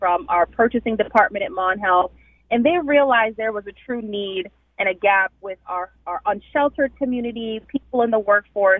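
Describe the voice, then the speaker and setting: Speaking with a slight Jamaican accent, a woman has a fairly high pitch and ordinary pitch variation. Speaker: hospital recruitment director. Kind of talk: radio interview.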